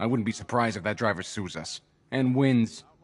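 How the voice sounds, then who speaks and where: A man's gruff, put-on character voice at medium pitch, with ordinary pitch variation and a fairly quick pace. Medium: video game. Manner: gruff, colloquial.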